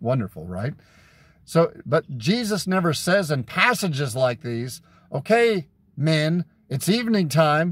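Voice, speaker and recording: Speaking at a fairly slow pace, a man with a fairly high pitch makes very wide pitch swings in a dry sound with no echo. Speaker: street preacher. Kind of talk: sermon-style teaching with Bible verses. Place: car. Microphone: phone near.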